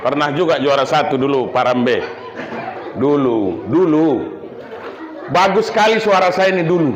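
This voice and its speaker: A man with a fairly high voice talks at a moderate pace, animated in tone and lively in intonation, leaving long, frequent pauses. Noticeable background noise and audible room echo fill the recording. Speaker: Islamic preacher. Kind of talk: sermon.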